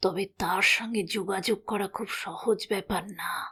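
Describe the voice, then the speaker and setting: A woman puts on a raspy character voice at medium pitch. She keeps a moderate pace and monotone, flat intonation. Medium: read story. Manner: measured, slow, mixing Hindustani words.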